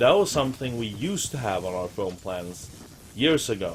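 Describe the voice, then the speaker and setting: With a Swedish accent, a man talks at a moderate pace. His pitch is fairly low. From Sweden. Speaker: gaming streamer. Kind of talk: casual chat. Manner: halting.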